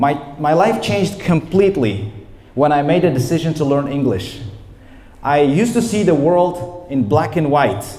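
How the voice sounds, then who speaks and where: Lively intonation and an animated tone from a fairly high-pitched man with an Uzbek accent, amid noticeable background noise and audible room echo. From Uzbekistan, Namangan. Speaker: English teacher. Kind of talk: lecture. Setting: training session with audience.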